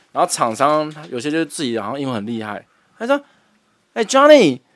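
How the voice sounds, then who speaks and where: Using an ordinary speaking voice, a man with fairly high pitch speaks at a moderate pace with lively intonation. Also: big swings in loudness. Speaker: podcast co-host. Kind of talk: casual chat.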